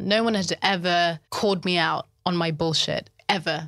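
With a bright, sharp tone, a woman talks at a moderate pace in a fairly low voice with fairly even intonation. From Zimbabwe. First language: Shona. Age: 30s. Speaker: life coach and writer. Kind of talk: casual interview conversation.

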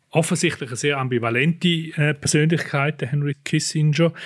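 A man speaks in a fairly high, somewhat breathy voice at a moderate pace. The recording is very clean, with a silent background. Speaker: podcast host, newspaper foreign editor. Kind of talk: interview conversation.

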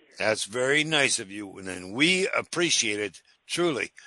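The voice has an American accent and a bright, sharp tone. The background is quiet. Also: man. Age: old. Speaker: appliance repair expert radio host. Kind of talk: radio call-in advice. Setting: studio.

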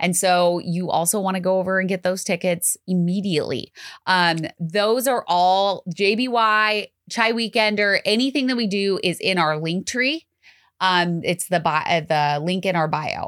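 A woman with a plain, everyday voice speaks at a medium pitch and moderate pace, with ordinary pitch variation and very even loudness, in a very clean recording with a silent background. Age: 30s. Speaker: podcast co-host. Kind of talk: casual chat.

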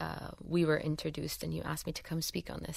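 This woman's voice has a very deep, low pitch, a bright, sharp tone and vocal fry. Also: very clean recording, silent background. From Kuwait, raised largely abroad. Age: 30s. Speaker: social development consultant. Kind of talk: casual interview.

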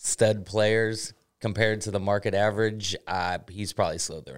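A man speaks fairly quickly in a normal speaking voice, with fairly low pitch and ordinary pitch variation. The recording is very clean, with a silent background. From Charlotte, North Carolina and South Florida. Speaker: sports podcast co-host. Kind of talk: casual chat. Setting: studio.

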